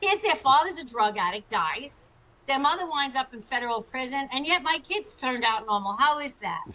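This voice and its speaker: In a high, bright, sharp voice, a woman projects loudly at a fairly quick pace, her pitch swinging very widely. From US Northeast (Long Island, New York). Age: 60s. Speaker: chiropractor and author. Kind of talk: interview testimony. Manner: animated.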